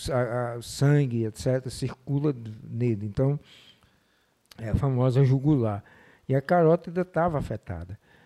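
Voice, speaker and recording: Long, frequent pauses break up a man's fairly slow speech, with ordinary pitch variation in a dark, mellow tone. The recording is very clean, with a silent background. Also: medium pitch for a man. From Mossoró, Rio Grande do Norte, Brazil (Northeast). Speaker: marketing and sales professional. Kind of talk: podcast interview.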